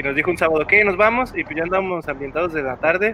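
Very wide pitch swings over noticeable background noise. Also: man. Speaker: podcast panel member. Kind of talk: casual chat.

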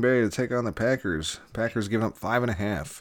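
A man is speaking. Noticeable noise can be heard behind him. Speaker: sports betting podcast host. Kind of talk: casual banter, sports picks show. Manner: profane, talkative.

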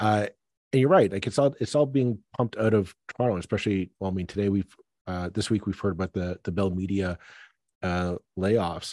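Speaking in a normal speaking voice with a Canadian accent, a man talks at a fairly quick pace and fairly low pitch with ordinary variation, the sound dry and close with no echo over a quiet background. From Toronto suburbs, Ontario, Canada. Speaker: podcast host. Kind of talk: casual political discussion.

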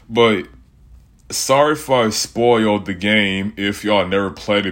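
In an ordinary speaking voice, a man talks at a fairly low pitch and a fairly slow pace. The recording is very clean, with a silent background. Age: 20s. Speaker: podcast host. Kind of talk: casual solo monologue. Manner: casual, rambling conversational.

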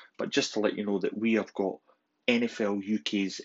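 A man's fairly low voice with a Scottish accent. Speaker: podcast host. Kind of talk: podcast announcement.

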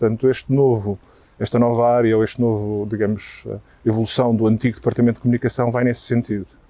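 A man's medium-pitched voice at a very fast pace, monotone with flat intonation. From Portugal. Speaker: marketing executive. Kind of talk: interview. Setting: outdoors, walking in a park.

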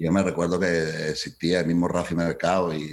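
This man's voice sits very deep and low, and his intonation stays fairly even. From Colombia. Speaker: entertainment business founder. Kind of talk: interview.

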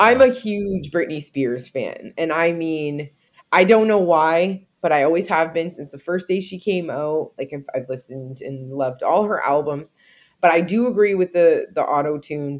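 A woman speaks in a normal speaking voice at a fairly low pitch. Her pace is moderate and her intonation lively. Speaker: podcast co-host. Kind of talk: casual chat.

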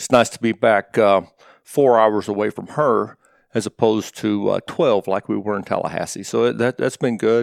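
The speaker is a man with an East Tennessee accent and a medium pitch. His intonation stays fairly even in a very clean recording with a silent background. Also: dry, close sound with no echo. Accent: Southern US (East Tennessee). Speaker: college football coach. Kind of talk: interview.

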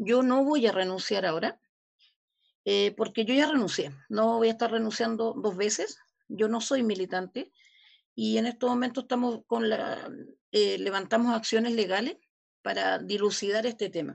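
Speaking at a moderate pace, a woman has an unremarkable speaking voice, a fairly high pitch and ordinary pitch variation. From Chile. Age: 50s. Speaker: community leader. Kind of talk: interview.

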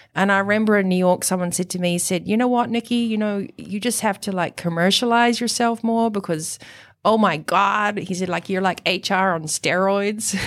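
A woman with a New Zealand accent at a medium pitch, moderate pace and fairly even intonation, on a very clean recording with a silent background. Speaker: high performance coach and author. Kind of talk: interview. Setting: studio.

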